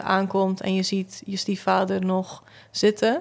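A woman talks at a fairly slow pace and a medium pitch. Her intonation is monotone and flat. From Flanders (southern Belgium). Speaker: photographer and visual artist; podcast guest. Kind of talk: casual chat. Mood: calm, reflective, grieving topic. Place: studio. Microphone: studio mic.

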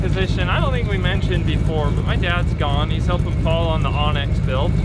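Moderate-paced speech, dry with no echo, over loud background noise. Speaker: shop vlog host. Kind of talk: casual vlog chat. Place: open country. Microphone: phone near.

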